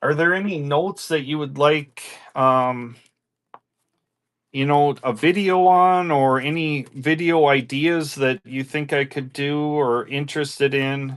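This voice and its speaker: A fairly high-pitched man with a strong Minnesota accent, fairly slow pace and fairly even intonation against a quiet background. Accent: strong northern US (Minnesota). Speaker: livestream coin seller. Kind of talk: live selling stream chat. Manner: casual, chatty.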